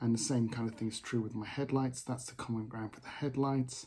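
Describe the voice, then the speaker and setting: Somewhat breathy man's voice, dark and mellow in tone, with fairly even intonation. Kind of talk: tutorial. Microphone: phone near.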